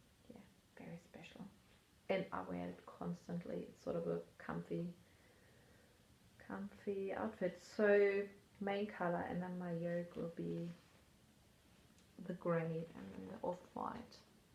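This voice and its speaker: Talking at a fairly slow pace, a woman leaves long, frequent pauses, and her loudness swings widely. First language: not English. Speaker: knitting vlogger. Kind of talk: casual chat. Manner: casual, hesitant with fillers.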